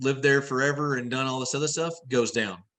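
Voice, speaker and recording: With a Texan accent, a man speaks in a bright, sharp tone at a medium pitch with ordinary pitch variation against a quiet background. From Texas, San Angelo area. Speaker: land investor and rancher. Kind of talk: podcast interview. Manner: casual, halting with self-corrections.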